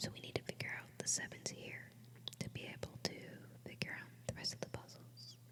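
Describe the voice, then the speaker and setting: Whispering at a fairly quick pace, a woman speaks over noticeable background noise. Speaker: ASMR creator. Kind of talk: ASMR puzzle-solving video. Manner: whispered; soft-spoken.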